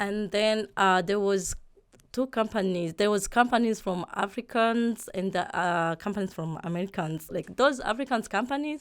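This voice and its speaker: Here a woman speaks in a Burundian accent at medium pitch, with ordinary pitch variation and a moderate pace. The recording is very clean, with a silent background. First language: Kirundi. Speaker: real estate agent. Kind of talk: interview. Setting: podcast. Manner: halting.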